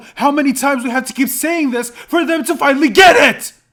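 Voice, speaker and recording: A man shouts loudly at an extremely high pitch, his intonation fairly even. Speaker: commentary YouTuber. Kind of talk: reaction commentary reading articles. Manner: loud, yelling.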